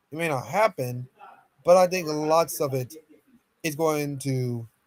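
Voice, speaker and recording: A man mumbles at a fairly slow pace with ordinary pitch variation, in a dry, close sound with no echo. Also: fairly high pitch for a man. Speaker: streamer casting esports VOD review. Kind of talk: live commentary. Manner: mumbling; animated.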